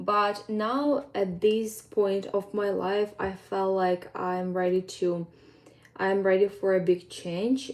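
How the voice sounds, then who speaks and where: Her pace is very slow, her intonation fairly even. A woman with a Ukrainian accent speaks at a medium pitch. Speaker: fitness coach. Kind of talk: casual vlog update. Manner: hesitant, with fillers.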